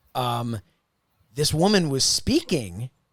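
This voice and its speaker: A man with a Philadelphia accent talks at a fairly slow pace with lively intonation. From Philadelphia area, US. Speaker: podcast host. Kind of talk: casual chat.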